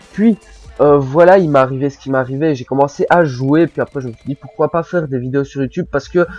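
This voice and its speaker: Music plays behind a man with a strong Belgian accent. He speaks at a moderate pace with ordinary pitch variation, the sound dry and close with no echo. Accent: Belgian French, says it is strong. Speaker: gaming commentator. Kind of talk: gameplay commentary, casual advice monologue. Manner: casual, hesitant with many fillers.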